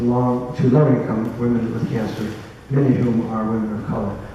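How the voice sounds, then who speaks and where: Both noticeable background noise and audible room echo come through as a man speaks. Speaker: forum moderator. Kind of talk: reading speaker bios aloud. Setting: community forum with audience. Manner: fast.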